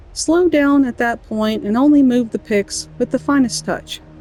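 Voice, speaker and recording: With music in the background, a woman in an American accent talks at a moderate pace in a high pitch with lively intonation, the sound dry and close with no echo. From Southern US. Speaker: gamer. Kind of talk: reading in-game book aloud. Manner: playful, amused.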